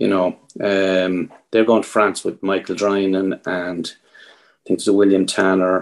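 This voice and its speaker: Fairly slow, flat monotone speech in an Irish accent against a quiet background. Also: man, very deep, low pitch for a man. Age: 50s. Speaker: competitive fly angler, team captain. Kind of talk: casual interview chat.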